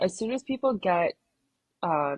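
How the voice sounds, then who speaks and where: The voice swings very widely in pitch and is somewhat breathy, moving at a fairly slow pace. The sound is dry and close, with no echo. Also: woman. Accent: Canadian. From Calgary, Alberta, Canada. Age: 30s. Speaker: Olympic rower. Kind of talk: casual interview chat.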